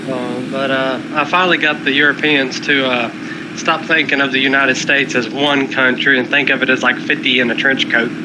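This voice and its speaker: Over noticeable background noise and audible room echo, a man with a North Carolina accent talks at a fairly quick pace and medium pitch, in a monotone, flat intonation with very even loudness. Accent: Southern US (North Carolina). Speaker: chat participant. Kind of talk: casual chat.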